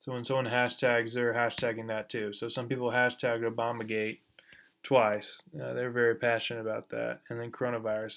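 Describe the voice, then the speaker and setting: Monotone and flat in intonation, a man speaks at a medium pitch in a very clean recording with a silent background. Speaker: graduate student. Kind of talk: class presentation. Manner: fast.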